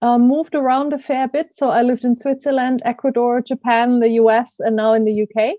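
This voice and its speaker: A woman with a German accent, high-pitched, with ordinary pitch variation and a moderate pace. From Germany. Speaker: coach and learning consultant. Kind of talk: podcast interview.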